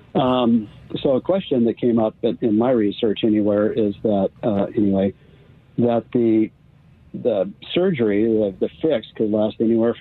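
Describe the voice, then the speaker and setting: A man speaks with an American accent at a medium pitch. He has a plain, everyday voice with ordinary pitch variation. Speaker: caller. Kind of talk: casual medical question. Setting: phone call.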